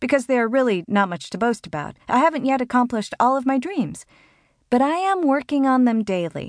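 Against a quiet background, a woman with a high pitch speaks at a moderate pace. Her pitch swings very widely, and the sound is dry and close with no echo. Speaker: audiobook narrator. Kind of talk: audiobook narration of a self-help book. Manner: warm, earnest, motivational, with emphatic delivery on the exclaimed lines; clear, steady, even-paced reading.

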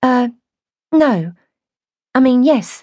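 A woman puts on a character voice with a high pitch and a dark, mellow tone. She speaks at a very slow pace with lively intonation.

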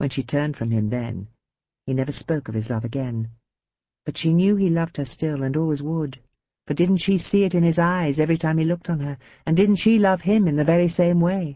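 A woman with a very deep, low pitch speaks in an animated tone with lively intonation. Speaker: audiobook narrator. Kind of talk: dramatic audiobook narration. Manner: animated, expressive character voices; dramatic, storytelling pace.

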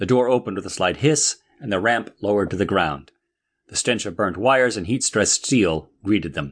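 All is quiet behind the voice. The text is given as plain reading aloud.

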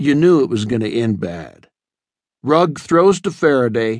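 Over a quiet background, a man speaks at a moderate pace with very wide pitch swings in a dry, close sound with no echo. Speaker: audiobook narrator. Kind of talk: audiobook narration in character, dramatic first-person storytelling.

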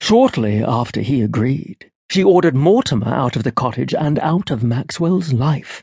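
A man's fairly high, somewhat breathy voice with lively intonation. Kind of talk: audiobook narration of a fairy tale. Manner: storytelling, measured and expressive; voices characters in dialogue.

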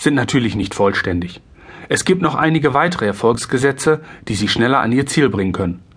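A man's somewhat breathy voice at a moderate pace, with very wide pitch swings. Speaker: insurance broker and sales trainer. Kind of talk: audiobook narration. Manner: amateur, non-professional reading.

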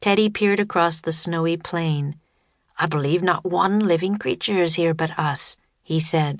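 Against a quiet background, a woman uses a normal speaking voice, fairly low in pitch, with fairly even intonation and very even loudness. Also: moderate pace. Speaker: audiobook narrator. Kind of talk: scripted audiobook narration of a children's story, read dramatically.

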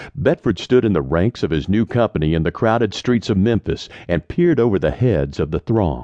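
A man speaks at a fairly quick pace with hardly any pauses. His fairly low voice has vocal fry and very wide pitch swings. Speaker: audiobook narrator. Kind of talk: audiobook reading of historical narrative. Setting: studio recording. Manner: measured storyteller pacing, formal.

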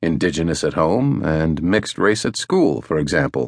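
Against a quiet background, a man with vocal fry talks at a moderate pace, his pitch swinging very widely. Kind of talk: audiobook narration. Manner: formal; measured, even-paced.

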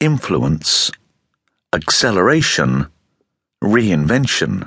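Bright and sharp in tone, a man with a very deep, low pitch speaks with vocal fry and very wide pitch swings. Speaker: audiobook narrator. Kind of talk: audiobook reading of a nonfiction self-help book. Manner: motivational, direct, earnest; steady, measured pacing.

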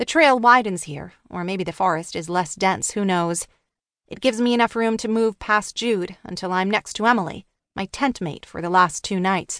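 A woman with an ordinary speaking voice talks at a moderate pace and medium pitch with ordinary pitch variation, in a dry, close sound with no echo. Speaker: audiobook narrator. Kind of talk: dramatic audiobook narration, first-person teen thriller read aloud with character voices. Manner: hushed, tense and suspenseful, with wry teenage sarcasm and shifts between characters.

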